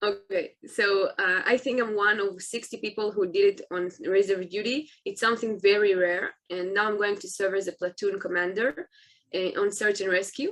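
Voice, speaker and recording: A woman's medium-pitched voice, fairly even in intonation, at a moderate pace. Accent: Israeli. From Israel. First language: Hebrew. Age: 20s. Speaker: soldier. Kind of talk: interview. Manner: halting.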